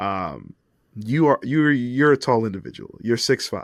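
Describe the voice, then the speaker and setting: Recorded very cleanly with a silent background and a dry, close sound with no echo, a man speaks at a moderate pace with ordinary pitch variation. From Long Island, New York. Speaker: podcast host. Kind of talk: interview.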